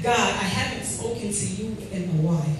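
The speech moves at a fairly slow pace, with strong room echo and light background noise. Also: woman. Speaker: spoken word poet. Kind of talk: spoken word poetry performance. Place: hall.

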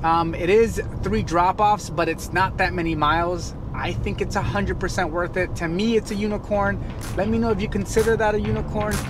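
A man talks at a moderate pace in a dry sound with no echo, with noticeable background noise around him. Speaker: gig delivery driver vlogger. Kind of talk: casual vlog chat. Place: car. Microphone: phone near.

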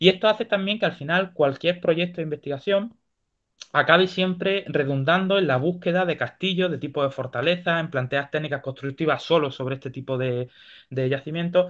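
Against a quiet background, a man with a normal speaking voice talks at a fairly quick pace with a fairly high pitch and ordinary pitch variation. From Spain, Granada (Andalusia); Andalusia, Spain. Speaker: university lecturer, archaeologist. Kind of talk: Q&A discussion; academic lecture. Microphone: video call.

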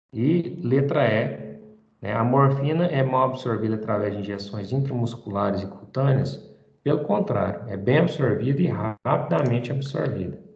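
Here a man talks at medium pitch with lively intonation. Room echo is audible. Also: moderate pace. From Brazil. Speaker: teacher. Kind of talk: lecture. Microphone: video call.

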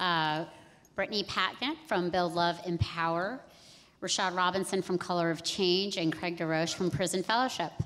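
The woman has a plain, everyday voice at a moderate pace. Her loudness stays very even, with ordinary pitch variation. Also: fairly low pitch for a woman. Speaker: panel moderator, civil rights advocate. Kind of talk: panel moderation. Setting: stage with audience. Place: hall.

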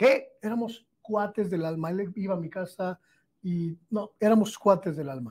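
At a very slow pace, a man speaks with a high pitch and ordinary pitch variation. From Mexico. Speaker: journalist. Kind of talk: interview. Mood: animated, emphatic storytelling. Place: studio. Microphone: lapel.

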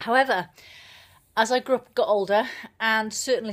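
Over a quiet background, a woman with a Welsh accent speaks at a fairly high pitch. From South Wales, living in New Zealand. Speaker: personal development blogger, video monologue. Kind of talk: casual vlog chat. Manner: fast talker. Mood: earnest, reflective. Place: home room. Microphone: phone near.

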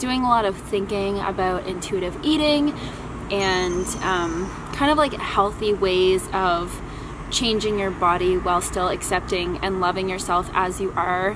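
Noticeable background noise sits behind a woman's voice. She talks at a fairly slow pace with ordinary pitch variation. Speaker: vlogger. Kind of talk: casual vlog chat. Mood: cheerful, relaxed. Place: garden.

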